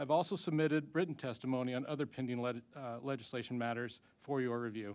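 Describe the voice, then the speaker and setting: At a very fast pace, a man with a medium-pitched voice keeps his intonation fairly even. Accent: American. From Ozarks. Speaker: veterans advocate testifying at hearing. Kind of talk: prepared testimony at congressional hearing. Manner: formal.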